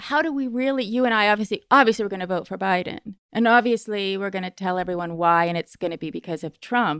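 Talking very fast with lively intonation, a woman of medium pitch is heard in a very clean, dry, close recording with no echo and a silent background. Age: 50s. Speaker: writer and magazine editor. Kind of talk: casual chat.

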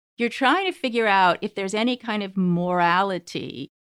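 In a very clean recording with a silent background, a woman speaks at a moderate pace and medium pitch with an American accent, the sound dry and close with no echo. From US West Coast (Berkeley, California). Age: 50s. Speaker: journalist and author. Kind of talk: casual chat.

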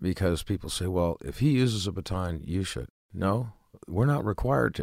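A man talks with lively intonation and vocal fry. The recording is very clean, the background silent. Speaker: retired police officer and firearms instructor. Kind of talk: interview.

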